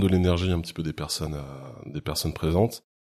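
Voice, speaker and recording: This man talks at a fairly quick pace. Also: very clean recording, silent background. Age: 40s. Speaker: photographer and rope bondage teacher. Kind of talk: interview. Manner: halting.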